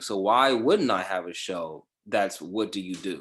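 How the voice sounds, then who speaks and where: Over a very clean recording with a silent background, a plain, everyday voice moves at a fairly slow pace with ordinary pitch variation. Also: man. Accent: American. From Los Angeles, then Georgia. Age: 30s. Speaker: podcast host and actor. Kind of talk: casual interview chat.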